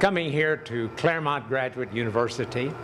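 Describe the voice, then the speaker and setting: Amid noticeable background noise and audible room echo, a man talks at a moderate pace with a medium pitch and lively intonation. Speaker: former politician and education leader, lecturer. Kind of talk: public lecture. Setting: lecture hall with loudspeaker.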